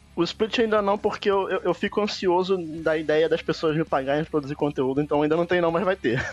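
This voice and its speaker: Speaking at a fairly quick pace with hardly any pauses, a man uses a high pitch with ordinary variation. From Brazil, Rio de Janeiro. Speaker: gaming podcaster. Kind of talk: casual chat.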